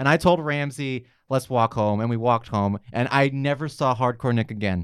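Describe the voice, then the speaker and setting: In a very clean recording with a silent background, a man with an unremarkable speaking voice talks at a medium pitch with ordinary pitch variation. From New York. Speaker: comedian and cartoonist. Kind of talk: casual chat.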